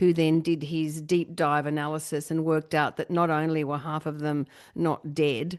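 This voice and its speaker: Her voice very deep and low for a woman, she speaks at a moderate pace in a flat monotone. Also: quiet background. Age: middle-aged. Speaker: podcast host. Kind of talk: casual chat.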